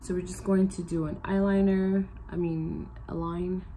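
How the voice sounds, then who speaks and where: A woman's voice is heard with audible room echo. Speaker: beauty vlogger. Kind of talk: makeup tutorial. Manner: casual, chatty.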